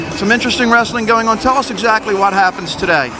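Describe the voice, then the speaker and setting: Raising and projecting his high voice, a man talks at a fairly quick pace with fairly even intonation while music plays in the background. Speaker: sports commentator. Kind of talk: live wrestling commentary. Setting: gym, broadcast commentary.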